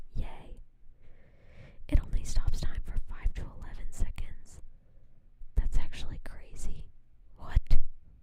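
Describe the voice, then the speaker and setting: Whispering comes at a fairly slow pace. Long, frequent pauses break it up. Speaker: ASMR streamer. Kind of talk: whispered casual chat. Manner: halting, repetitive filler.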